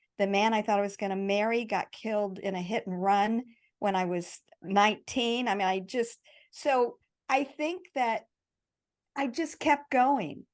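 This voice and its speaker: A woman talks in a normal speaking voice, fairly high in pitch with ordinary pitch variation, against a quiet background. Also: fairly slow pace. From US Midwest. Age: 60s. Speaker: bodybuilder and online fitness coach. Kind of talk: podcast interview.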